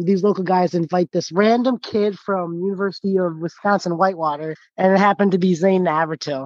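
Speaking at a fairly quick pace, a man uses a high voice and fairly even intonation. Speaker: pickleball player. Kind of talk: interview. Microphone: poor audio, fading out.

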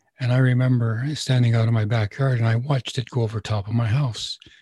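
A somewhat breathy man with a dark, mellow tone, fairly even intonation and a fairly quick pace. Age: 70s. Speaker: spiritual teacher and radio host. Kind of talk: casual interview answering questions. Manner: conversational, rambling.

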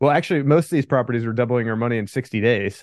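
This is a man at medium pitch. He has an ordinary speaking voice. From Pennsylvania. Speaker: land investor. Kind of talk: interview.

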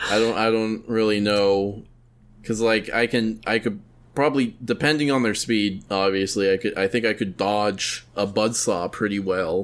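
In a very clean recording with a silent background, a man with a fairly low voice and an unremarkable speaking voice talks at a moderate pace with fairly even intonation and very even loudness. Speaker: podcast host. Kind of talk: casual banter podcast.

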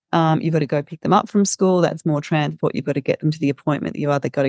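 A very deep, low-pitched woman's voice with an Australian accent, dry and close with no echo, against a quiet background. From regional Victoria, Australia. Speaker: social enterprise founder and CEO. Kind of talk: interview conversation. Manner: hesitant, many filler words.

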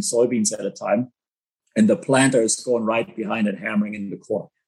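A man with a German accent, medium pitch, lively intonation and a moderate pace. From Germany. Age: 30s. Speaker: agricultural entrepreneur. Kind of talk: interview.

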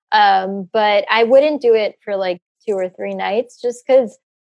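A woman has a plain, everyday voice, with ordinary pitch variation and a moderate pace. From US, Middle Eastern immigrant community. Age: 30s. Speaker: travel influencer and former nurse. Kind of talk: interview.

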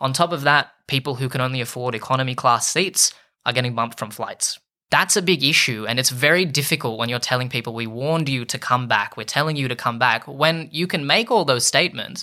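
Bright and sharp in tone, a man with an Australian accent talks at a fairly quick pace with ordinary pitch variation on a very clean recording with a silent background. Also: medium pitch for a man. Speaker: lawyer. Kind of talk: interview.

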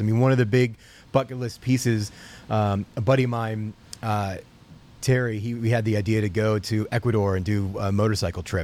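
Someone with an American accent talks at a moderate pace in an ordinary speaking voice. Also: man. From US South, Atlanta. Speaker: motorcycle event organizer. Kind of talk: casual chat. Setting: video call.

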